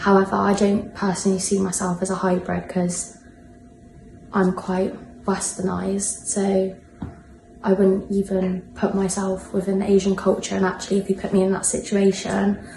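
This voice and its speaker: A woman with a British accent in a monotone, flat intonation at a moderate pace, over noticeable background noise. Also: medium pitch for a woman. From UK. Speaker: interviewee. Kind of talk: personal reflection interview.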